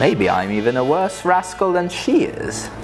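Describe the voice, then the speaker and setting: A man at a fairly slow pace with very wide pitch swings, music in the background. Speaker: author reading own book. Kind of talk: dramatic reading of humorous rhyming book.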